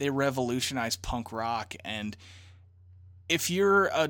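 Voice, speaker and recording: A man with a plain, everyday voice talks at a fairly slow pace and medium pitch. The recording is very clean, with a silent background. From southern Illinois. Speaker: podcast host. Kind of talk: casual interview chat.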